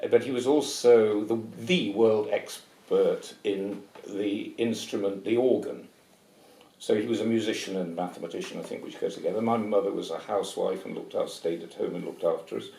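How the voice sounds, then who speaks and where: Speaking fairly quickly, a man talks with a southern English accent. His volume rises and falls sharply, with audible room echo. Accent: English, educated southern British. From England, Nottingham. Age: 70s. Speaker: retired paediatric anaesthetist. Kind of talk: interview. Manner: halting, with repetitions.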